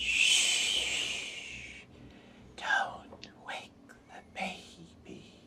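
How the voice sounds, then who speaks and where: A breathy, raspy whisper. It is a put-on character voice. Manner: eerie, whispery.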